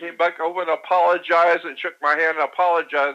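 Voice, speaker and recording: Very fast and high-pitched, a man talks with a bright, sharp tone and fairly even intonation. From Florida. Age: 70s. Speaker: conspiracy researcher. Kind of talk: radio interview. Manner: halting.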